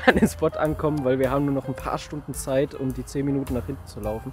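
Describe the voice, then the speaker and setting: Dry sound with no echo and faint music in the background, a man speaking at a moderate pace. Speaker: plane spotter vlogger. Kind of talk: casual vlog chat. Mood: relaxed, joking. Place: open country.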